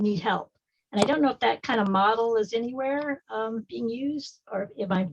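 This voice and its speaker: A somewhat breathy woman at a fairly high pitch and moderate pace, with ordinary pitch variation and a dry, close sound with no echo. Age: 60s. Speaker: audience member asking a question. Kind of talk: Q&A question at online community meeting. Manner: halting.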